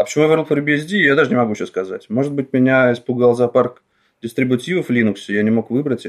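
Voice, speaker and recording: In a plain, everyday voice, a man speaks with a medium pitch and ordinary pitch variation against a quiet background. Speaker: free software developer. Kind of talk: casual chat. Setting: remote podcast recording.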